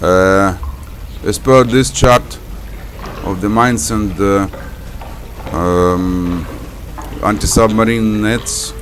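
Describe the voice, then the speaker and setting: A man with a non-native accent speaks at a very slow pace and fairly low pitch, with long, frequent pauses, audible room echo and noticeable background noise. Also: fairly even intonation. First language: not English. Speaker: gaming video creator. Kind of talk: gameplay commentary. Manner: halting.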